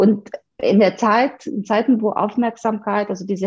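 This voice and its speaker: A woman speaks with a dark, mellow tone and a somewhat breathy quality. Her pitch varies in an ordinary way. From Romania. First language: Romanian (speaking German). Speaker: video marketing entrepreneur. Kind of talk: interview.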